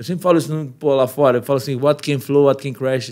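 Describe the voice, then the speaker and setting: Against a quiet background, a man's words come very fast. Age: 30s. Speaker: podcast guest. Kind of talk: casual chat. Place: studio. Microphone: studio mic.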